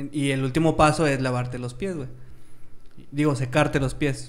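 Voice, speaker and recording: With a Mexican accent, a man speaks at a fairly high pitch. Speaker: podcast co-host. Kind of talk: casual chat.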